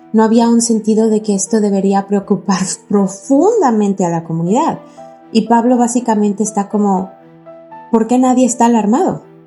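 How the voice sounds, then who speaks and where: A woman's fairly high voice at a moderate pace with ordinary pitch variation, over music in the background. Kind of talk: contemplative podcast reflection. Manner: conversational, casual, reflective.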